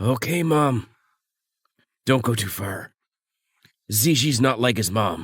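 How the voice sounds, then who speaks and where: A man puts on a raspy character voice at a medium pitch. He speaks at a fairly slow pace with long, frequent pauses. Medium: fan dub. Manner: curt, commanding.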